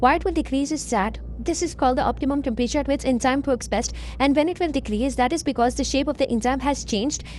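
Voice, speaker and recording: A woman at a very fast pace over noticeable background noise. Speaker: online revision tutor. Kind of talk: tutorial. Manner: repetitive fillers (okay).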